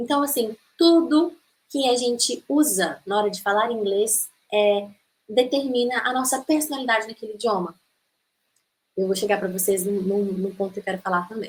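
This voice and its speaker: Pausing long and often, a woman speaks at a moderate pace with lively intonation and a fairly high pitch. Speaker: English teacher. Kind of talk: online masterclass lecture. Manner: animated.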